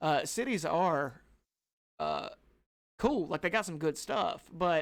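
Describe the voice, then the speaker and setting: A man with a Southern US accent and a fairly high pitch is heard in a very clean recording with a silent background. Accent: Southern American. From US South. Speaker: podcast co-host. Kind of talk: casual chat. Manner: loud.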